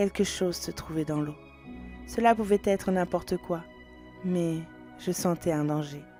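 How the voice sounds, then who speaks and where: A woman's fairly low-pitched voice at a fairly slow pace, ordinary pitch variation, and music in the background. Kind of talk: fantasy audio story narration. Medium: read story.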